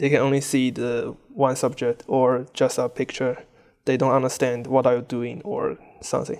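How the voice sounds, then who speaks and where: A man with a Chinese accent, medium pitch, fairly even intonation and a moderate pace. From China. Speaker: furry fan and photographer. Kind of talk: interview.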